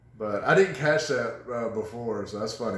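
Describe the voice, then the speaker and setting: A man speaks with lively intonation, and the room echo is audible. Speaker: couples vlogger. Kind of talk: casual chat. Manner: laughs when telling serious things.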